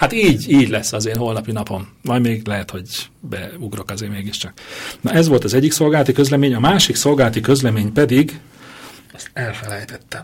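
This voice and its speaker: A man at a fairly quick pace, medium in pitch with ordinary pitch variation and big swings in loudness. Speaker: radio host. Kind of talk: casual chat. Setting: radio studio. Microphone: echo at first, mic not plugged in properly.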